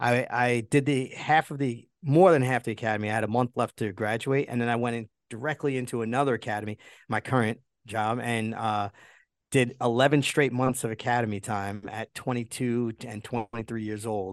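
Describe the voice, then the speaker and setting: In a normal speaking voice, a man talks at medium pitch and a fairly quick pace with fairly even intonation, the sound dry and close with no echo and a quiet background. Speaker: retired police officer and coach. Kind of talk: interview, conversational.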